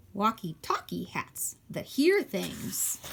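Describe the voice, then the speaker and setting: A woman puts on a character voice. She speaks at a very slow pace. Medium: read story. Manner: eager, persistent.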